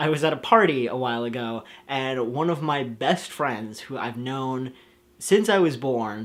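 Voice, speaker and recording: A man with an unremarkable speaking voice talks at a medium pitch, with ordinary pitch variation. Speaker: youtuber. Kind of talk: vlog.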